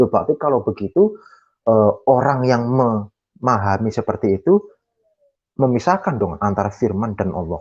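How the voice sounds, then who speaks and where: A man with a Javanese accent. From Java, Indonesia. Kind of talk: Q&A explanation in online discussion. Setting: online video meeting, camera off. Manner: hesitant, with many fillers.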